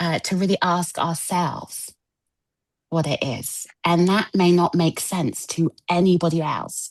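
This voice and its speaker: A woman speaks with an English accent. Her intonation is monotone and flat. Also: fairly low pitch for a woman, fairly slow pace. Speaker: wellness coach. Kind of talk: spiritual group discussion.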